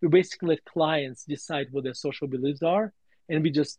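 A man with a Russian accent and a fairly high-pitched voice. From Russia (USSR). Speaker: value investor and author. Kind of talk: interview on a live audio space. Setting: online audio room.

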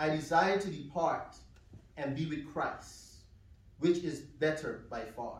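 Very slow in pace, a man talks at a high pitch with ordinary pitch variation. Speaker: preacher giving eulogy for his mother. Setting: funeral service with congregation. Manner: emotional, warm and earnest, measured pace, occasional soft laughter.

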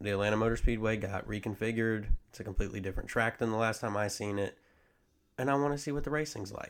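Spoken at a very fast pace in an American accent, the voice shows big swings in loudness over fairly even intonation. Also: man, fairly low pitch for a man. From US South. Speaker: co-host's husband. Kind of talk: casual chat. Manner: monotone.

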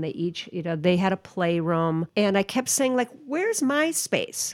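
A woman's fairly low pitch at a moderate pace, in an Upper Midwest accent. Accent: Upper Midwest (Minnesota). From Minnesota, Twin Cities (Roseville). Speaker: magazine editor. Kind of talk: interview.

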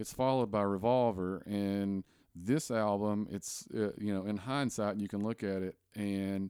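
Speaking fairly slowly in a Southern US accent, a man uses a fairly low, dark, mellow voice with ordinary pitch variation, on a very clean recording with a silent background. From US South, Tennessee. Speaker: podcast host. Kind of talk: casual chat.

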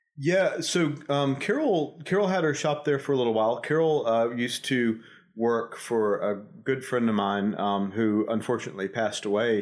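In a coastal Georgia accent, a man speaks at a moderate pace and medium pitch with lively intonation, very even loudness and hardly any pauses, on a very clean recording with a silent background. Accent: Southern American, coastal Georgia. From US South, Savannah, Georgia. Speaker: real estate executive. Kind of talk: casual interview. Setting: studio. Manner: hesitant, many fillers.

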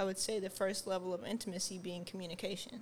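A soft-spoken woman talks at medium pitch. Her intonation is monotone and flat. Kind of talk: casual chat.

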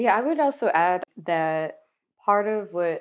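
A woman with an American accent and an ordinary speaking voice, fairly low in pitch, at a moderate pace with ordinary pitch variation, over a quiet background. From Miami, Florida, US. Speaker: historian. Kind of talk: casual discussion.

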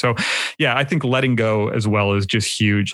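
Fairly even in intonation, a man with an unremarkable speaking voice and a Canadian accent talks at a fairly low pitch. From Canada. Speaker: film photographer and YouTuber. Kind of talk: casual interview chat.

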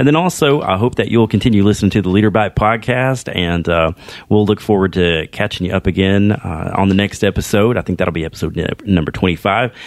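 A man talks at a fairly low pitch in a normal speaking voice. He moves at a fairly quick pace with hardly any pauses. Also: ordinary pitch variation. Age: 40s. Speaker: podcast host. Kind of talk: casual interview.

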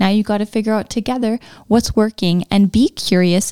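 A woman speaks in a dark, mellow, warm tone at a medium pitch and moderate pace. The recording is very clean, with a silent background. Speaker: podcast host. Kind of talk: casual chat. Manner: warm, friendly, laughs often.

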